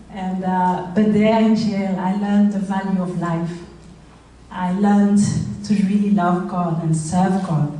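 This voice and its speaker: Speaking with a French accent, a woman keeps a fairly even intonation. Audible room echo and noticeable background noise surround her voice. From Rwanda. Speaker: charity founder. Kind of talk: speech. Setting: stage with audience. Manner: halting.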